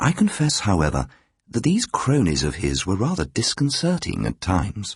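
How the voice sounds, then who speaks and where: Using very wide pitch swings and vocal fry, a man speaks at a moderate pace. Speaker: professional audiobook reader. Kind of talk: radio drama reading of a ghost story. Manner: measured, reflective narration.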